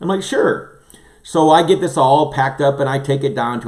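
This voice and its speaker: Lively intonation and an animated tone mark this man's speech. His voice is somewhat breathy and fairly high in pitch. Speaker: livestream host, former pastor. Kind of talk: casual chat. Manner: fast.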